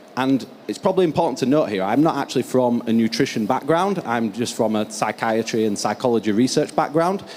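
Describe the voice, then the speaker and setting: In a strong northern English accent, a man talks at a fairly quick pace with hardly any pauses, medium pitch and lively intonation, over noticeable background noise. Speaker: research scientist. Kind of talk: conference keynote presentation.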